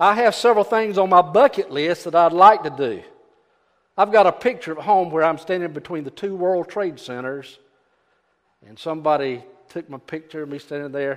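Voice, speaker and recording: Speaking in a Southern US accent, a man uses a high pitch with ordinary variation at a moderate pace. His loudness swings widely. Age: 70s. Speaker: preacher. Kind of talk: sermon. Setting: church.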